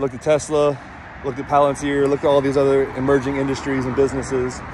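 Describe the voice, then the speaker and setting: A man's voice in a dry sound with no echo, over light background noise. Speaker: vlogger. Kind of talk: casual vlog chat. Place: street. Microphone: earbuds.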